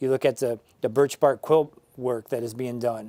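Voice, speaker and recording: Dry and close with no echo, a man's dark, mellow voice carries an American accent. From Northern Michigan, USA. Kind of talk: interview answer.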